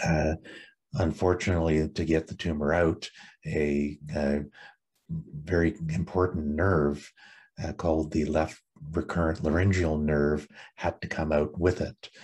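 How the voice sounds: A man speaks in a raspy, breathy voice with a slightly husky edge and an extremely low pitch. His pace is fairly slow, with little pitch movement.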